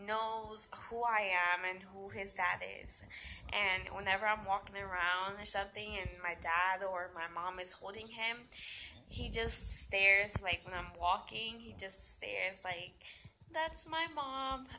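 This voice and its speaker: A woman speaks at a fairly slow pace with ordinary pitch variation and big swings in loudness over light background noise. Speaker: young mother vlogger. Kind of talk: casual vlog chat. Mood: animated storytelling. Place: home room. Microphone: phone near.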